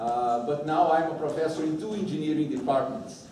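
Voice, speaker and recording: A man is speaking in a room with audible echo. Noticeable background noise runs under his voice. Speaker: professor. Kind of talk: lecture. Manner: loud; halting. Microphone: no microphone.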